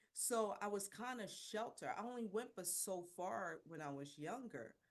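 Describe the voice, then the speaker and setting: Speaking at a moderate pace in a Philadelphia accent, a woman has medium pitch and lively intonation. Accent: Philadelphia American English. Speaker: women's business mentor, founder. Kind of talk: personal testimony in interview.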